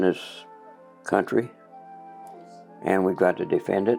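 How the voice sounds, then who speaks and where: A man is speaking. Music plays in the background. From Kansas City. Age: 80s+. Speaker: war veteran pilot. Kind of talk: interview answer.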